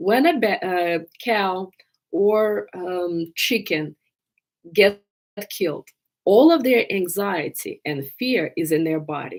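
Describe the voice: Slowly and with lively intonation, a woman speaks in a fairly low voice.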